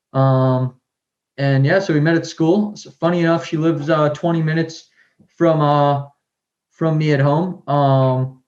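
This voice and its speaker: With fairly even intonation, a man with a fairly high pitch speaks at a fairly slow pace. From Massachusetts, near Boston. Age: 20s. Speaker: scooter rider and brand owner. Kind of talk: podcast interview. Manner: halting with many fillers.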